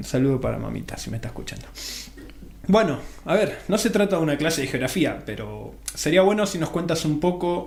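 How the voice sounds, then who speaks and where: A man speaks with an Argentine accent and big swings in loudness. Noticeable background noise and audible room echo surround him. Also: fairly quick pace. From Argentina. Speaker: radio host. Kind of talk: radio interview.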